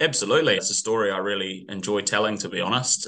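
A man with a New Zealand accent talks at a very fast pace in a bright, sharp tone. The background is quiet. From New Zealand, northwest of Auckland. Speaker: tourism industry executive. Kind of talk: interview. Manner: halting, repeats words.

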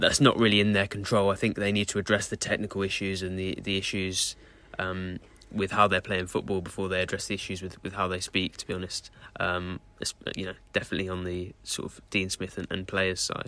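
In a very clean recording with a silent background, a man with a southern English accent talks fairly quickly in a very deep, low pitch and a monotone, flat intonation. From Southeast England. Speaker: football correspondent. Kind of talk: casual chat.

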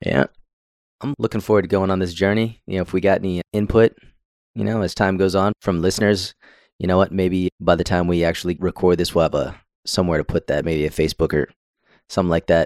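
A man speaks very fast in a very deep, low voice with fairly even intonation, the sound dry and close with no echo on a very clean recording over a silent background. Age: 30s. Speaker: podcast host. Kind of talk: casual chat.

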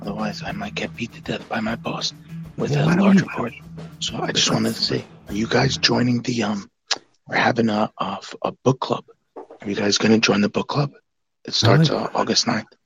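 A man in a put-on character voice, raspy and medium in pitch, at a moderate pace with long, frequent pauses and music in the background. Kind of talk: casual, hurried.

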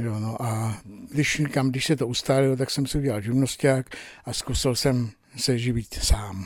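This man has a plain, everyday voice, talking fairly slowly at a medium pitch with fairly even intonation. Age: 60s. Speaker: electronics repairman. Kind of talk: interview. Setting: repair workshop.

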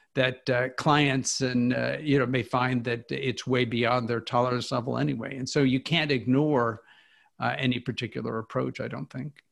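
Vocal fry with an American accent, fairly even intonation and a moderate pace on a very clean recording with a silent background. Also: man. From US Midwest, Kansas. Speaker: financial columnist. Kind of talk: interview.

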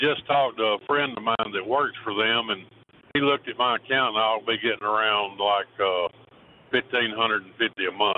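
Speaking at a moderate pace in an American accent, a man has an unremarkable speaking voice at medium pitch, with fairly even intonation and big swings in loudness. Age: 60s.

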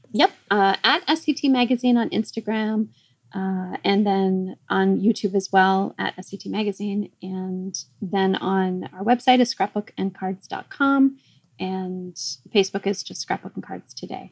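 A woman talks fairly slowly in a normal speaking voice, medium in pitch with ordinary variation, her loudness swinging widely in a dry, close sound with no echo. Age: 50s. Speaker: magazine founder and publisher. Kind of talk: casual interview chat.

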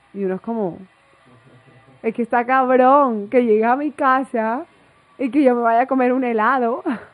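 With music in the background, a woman speaks in a high pitch at a moderate pace with fairly even intonation and long, frequent pauses. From Colombia, Barranquilla (Caribbean coast). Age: 20s. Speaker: travel influencer. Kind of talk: casual interview. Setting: host's apartment.

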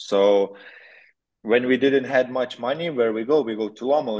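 A man talks in a normal speaking voice. He keeps a moderate pace with ordinary pitch variation. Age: 20s. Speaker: motocross rider. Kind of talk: interview.

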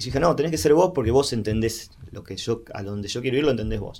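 A man with a Rioplatense accent, at a fairly quick pace, his intonation lively. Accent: Rioplatense Spanish (porteño). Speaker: singer-songwriter. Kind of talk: interview. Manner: halting, many repeated words and fillers.

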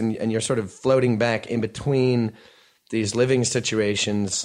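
A man with an American accent, medium pitch, fairly even intonation and a moderate pace against a quiet background. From US Northeast, New York area. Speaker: rock band singer. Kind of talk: casual interview conversation. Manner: halting, many restarts.

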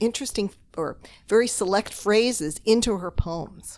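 A woman speaks fairly slowly with a Canadian accent in an ordinary speaking voice, her fairly high pitch moving with lively intonation over a very clean recording with a silent background. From Toronto, Canada. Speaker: novelist and literature professor. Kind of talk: casual interview chat. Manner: laughs often.

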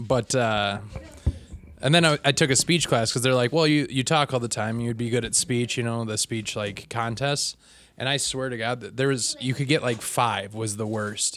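In a normal speaking voice, a man talks with an American accent at a medium pitch. His intonation is fairly even and his pace moderate. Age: 30s. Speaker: comedian. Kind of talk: casual chat.

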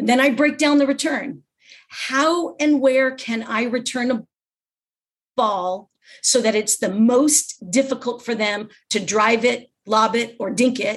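Speaking with an American accent, a woman uses a high pitch and ordinary pitch variation at a fairly slow pace. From US West Coast, Los Angeles. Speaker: pickleball instructor and champion. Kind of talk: interview.

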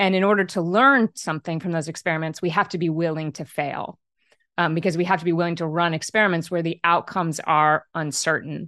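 Talking at a fairly quick pace, a woman with a bright, sharp tone and fairly low pitch keeps her intonation fairly even. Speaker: author and leadership coach. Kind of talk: interview.

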